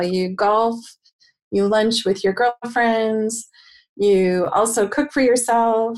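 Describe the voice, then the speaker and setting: Talking at a fairly slow pace, a woman with an ordinary speaking voice uses a fairly high pitch and ordinary pitch variation. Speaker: co-host, marketing researcher.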